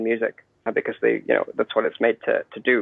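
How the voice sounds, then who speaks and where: A man with an American accent at a fairly quick pace. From Lagos, Nigeria and London. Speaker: tabla player and online business teacher. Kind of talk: interview conversation.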